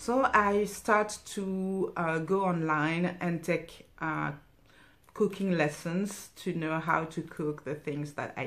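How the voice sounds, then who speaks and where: A woman with a French accent, fairly low pitch, lively intonation and a very slow pace. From France, Cameroonian parents. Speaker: stitching vlogger. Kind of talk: casual personal talk. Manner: halting, many fillers.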